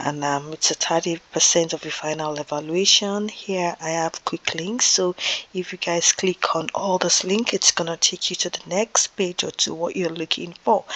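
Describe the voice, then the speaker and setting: Speaking at a moderate pace with fairly even intonation, the voice comes through noticeable background noise. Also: woman, fairly low pitch for a woman. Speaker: teacher. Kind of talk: lecture. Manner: soft-spoken; halting.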